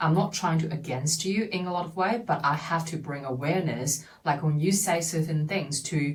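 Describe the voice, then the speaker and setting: Speech in a Chinese accent moves at a moderate pace and sounds somewhat breathy. Pitch variation is ordinary. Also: woman. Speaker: podcast host. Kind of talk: personal monologue. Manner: halting.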